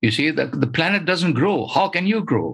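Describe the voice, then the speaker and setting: A man speaks at a fairly quick pace with vocal fry, on a very clean recording with a silent background. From Sri Lanka. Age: old. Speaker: environmentalist. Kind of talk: interview.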